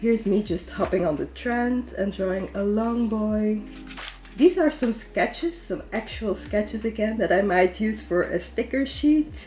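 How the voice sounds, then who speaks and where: A woman speaks with a Dutch accent at a fairly slow pace. Music plays in the background. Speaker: artist / sketchbook YouTuber. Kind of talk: sketchbook tour narration. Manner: casual, chatty.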